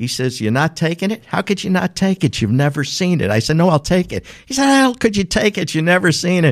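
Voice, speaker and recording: With a strong New York accent, a man talks at a fairly quick pace in a high pitch, his voice swinging very widely up and down. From New York City. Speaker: business owner. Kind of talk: casual interview.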